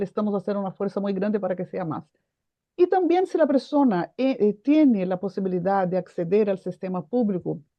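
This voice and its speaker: In a Portuguese accent, a woman talks at a fairly quick pace with lively intonation. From Brazil. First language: Portuguese (speaking Spanish). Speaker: foundation president, mental health advocate. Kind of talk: panel discussion.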